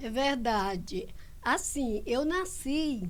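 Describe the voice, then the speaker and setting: With audible room echo around her, a woman speaks at a high pitch. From Brazil, Imperatriz, Maranhão. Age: 60s. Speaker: church elder and Sunday school teacher. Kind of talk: testimony.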